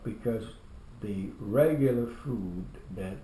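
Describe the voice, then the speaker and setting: A very slow, somewhat breathy voice with a dark, mellow tone and fairly even intonation, plus audible room echo. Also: man. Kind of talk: family interview. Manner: halting, many repetitions.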